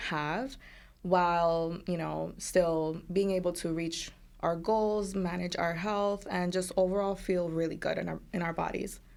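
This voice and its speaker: A woman with an American accent speaks at a fairly slow pace, her pitch fairly low and her intonation fairly even. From US, Colombian American family. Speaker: dietitian. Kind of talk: casual interview chat.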